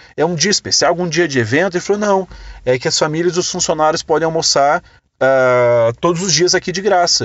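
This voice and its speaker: A man's fairly high, animated voice at a fairly quick pace with lively intonation. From Brazil, interior of Rio Grande do Sul. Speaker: podcast host, digital marketing entrepreneur. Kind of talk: casual storytelling monologue.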